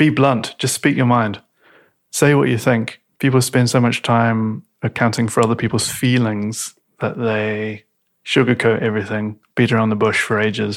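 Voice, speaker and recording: A man with a New Zealand accent speaks at a moderate pace in a medium pitch. His intonation is fairly even, and the recording is very clean with a silent background. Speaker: designer and actor. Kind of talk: casual chat. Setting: at home.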